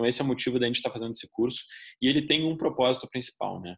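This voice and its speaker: This man speaks with a southern Brazilian accent. His pace is very fast. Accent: gaúcho (southern Brazilian). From southern Brazil (Rio Grande do Sul). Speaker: leadership trainer. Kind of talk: online course lecture. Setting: recorded online class.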